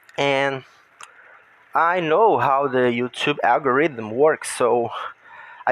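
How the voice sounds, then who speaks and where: A man with a fairly high voice and a Brazilian Portuguese accent speaks at a very slow pace with ordinary pitch variation. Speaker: gaming YouTuber. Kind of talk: casual monologue while gaming. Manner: halting.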